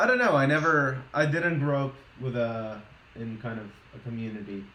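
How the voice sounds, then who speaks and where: With a slight Boston accent, a man talks at a moderate pace and ordinary pitch variation amid audible room echo. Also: medium pitch for a man. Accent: weak Boston accent, can only fake it. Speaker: streamer, scale modeler. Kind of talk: casual chat.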